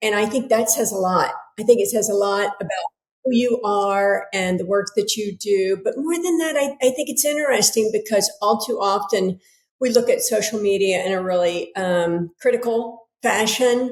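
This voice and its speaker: The speaker is a woman with an unremarkable speaking voice, fairly high in pitch, at a moderate pace. She has an American accent and ordinary pitch variation. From United States. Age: 60s. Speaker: author and yoga teacher. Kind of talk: casual interview conversation.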